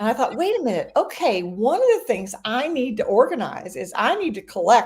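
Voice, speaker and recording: The voice is somewhat breathy, moves at a fairly quick pace and has very wide pitch swings. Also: woman. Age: 70s. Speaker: professional organizer, podcast co-host. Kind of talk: casual podcast conversation. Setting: live stream.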